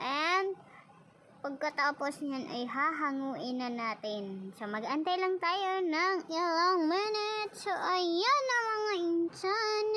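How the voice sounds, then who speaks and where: Projecting a raised voice, a woman speaks at a very slow pace. Her tone is bright and sharp, and her intonation is lively. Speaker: cooking vlogger. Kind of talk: casual cooking tutorial. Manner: slurred, lisping speech; casual, chatty.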